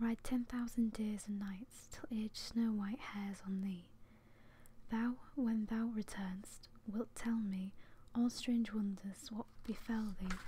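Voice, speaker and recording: A soft-spoken, somewhat breathy woman with a fairly high pitch, a dark, mellow tone, a relaxed manner, monotone, flat intonation and a very slow pace. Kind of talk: poetry reading, soft-spoken ASMR. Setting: home, close microphone. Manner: soft-spoken, relaxed.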